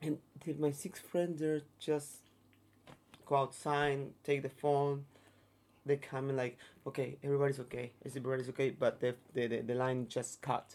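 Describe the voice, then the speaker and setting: With a flat, monotone delivery, a man speaks at a moderate pace in a fairly high pitch and leaves long, frequent pauses. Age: 30s. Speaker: touring performer. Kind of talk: interview. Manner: halting.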